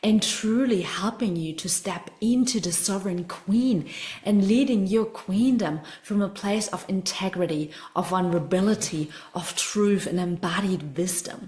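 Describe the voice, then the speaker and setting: With a German accent, the speaker goes at a fairly slow pace with ordinary pitch variation over noticeable background noise. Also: woman, medium pitch for a woman. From Germany. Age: 20s. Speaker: spiritual coach. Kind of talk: online masterclass. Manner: animated.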